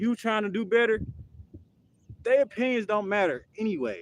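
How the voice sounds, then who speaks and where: This man's voice sits at a high pitch, with ordinary pitch variation. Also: dry, close sound with no echo. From United States. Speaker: fitness streamer. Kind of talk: live stream monologue. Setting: live stream workout. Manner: casual, slangy.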